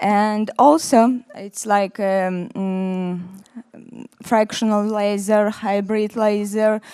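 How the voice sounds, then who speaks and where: A woman with a Russian accent speaks very slowly at a fairly high pitch, her intonation monotone and flat. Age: 40s. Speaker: dermatologist. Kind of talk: conference presentation. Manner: halting.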